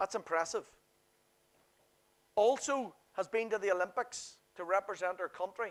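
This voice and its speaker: In a Northern Irish accent, the speaker uses an animated tone at a moderate pace with long, frequent pauses, on a very clean recording with a silent background. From Northern Ireland. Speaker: workshop presenter. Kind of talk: seminar presentation.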